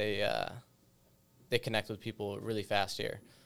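A man speaks with monotone, flat intonation on a very clean recording with a silent background. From western Massachusetts, rural. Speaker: staff sergeant. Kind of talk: casual panel discussion.

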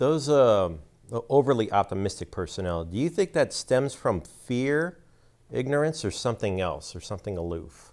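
A man at medium pitch and moderate pace, with very wide pitch swings. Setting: studio.

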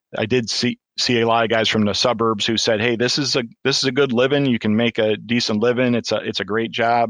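In a Michigan accent, a man talks at a fairly quick pace and medium pitch with flat, monotone intonation, in a dry, close sound with no echo. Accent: Michigan, US Upper Midwest. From Michigan, US. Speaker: deputy fire chief, retired Marine. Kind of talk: casual interview.

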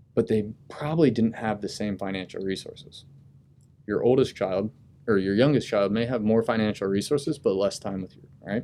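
A man with an American accent at a moderate pace, fairly low-pitched in a dark, mellow tone, with ordinary pitch variation and big swings in loudness. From US Midwest (Dayton, Ohio). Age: 30s. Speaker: Marine officer and graduate student. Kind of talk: casual interview.

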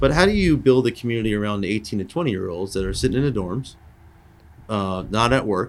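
Speaking very fast with an American accent, a man has a fairly low pitch. His pitch varies in an ordinary way. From US Northeast, Long Island, New York. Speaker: air force wing commander. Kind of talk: interview. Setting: conference room.

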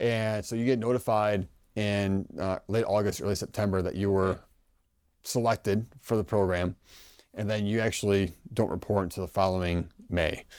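In an American accent, a man with a normal speaking voice and a fairly low pitch uses fairly even intonation, on a very clean recording with a silent background. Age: 30s. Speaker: army officer. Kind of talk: interview.

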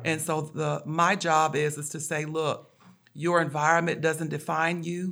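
A flat, monotone delivery at a fairly slow pace. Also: woman. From Louisiana. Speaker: retired army sergeant, JROTC instructor. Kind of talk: casual interview. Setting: high school on location.

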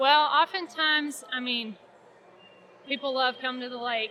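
High pitch from a woman with an American accent, with ordinary pitch variation at a moderate pace and noticeable background noise. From Oklahoma, Ardmore. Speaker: park ranger. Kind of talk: interview. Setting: expo event at a mall.

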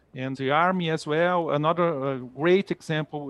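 The speaker talks at a moderate pace in a Portuguese accent. The intonation stays fairly even. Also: man. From Brazil, Rio de Janeiro. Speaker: military officer. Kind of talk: interview.

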